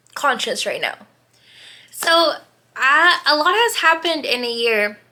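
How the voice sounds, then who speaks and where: A woman uses a raised, projected voice with a bright, sharp tone, very wide pitch swings and a fairly slow pace. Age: 20s. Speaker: podcast host. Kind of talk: casual chat. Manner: casual, rambling with fillers.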